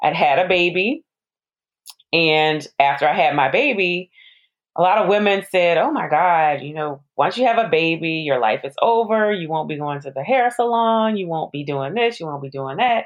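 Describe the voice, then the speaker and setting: At a moderate pace, an ordinary speaking voice with an American accent carries lively intonation. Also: woman, fairly low pitch for a woman. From New Orleans, US South. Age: 40s. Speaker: pharmacist and widowhood influencer. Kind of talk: interview.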